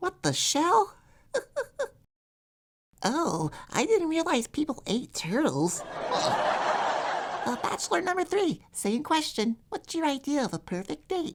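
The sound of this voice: A put-on character voice rises to a high pitch. It moves at a fairly slow pace, with long, frequent pauses.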